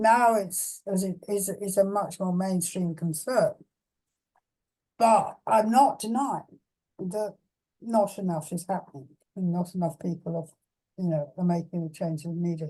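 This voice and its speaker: Speaking fairly slowly with an English accent, a woman has a medium-pitched, somewhat breathy voice and a dark, mellow tone. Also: ordinary pitch variation. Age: 80s+. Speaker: philosopher. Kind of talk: Q&A discussion. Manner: halting.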